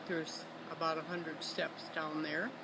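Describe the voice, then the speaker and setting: With an American accent and fairly even intonation, the speaker keeps a moderate pace amid noticeable background noise and audible room echo. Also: woman. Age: 90s. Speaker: grandmother interviewed for family record. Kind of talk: casual family interview. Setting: outdoors on a lakeside deck. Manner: halting, with frequent fillers.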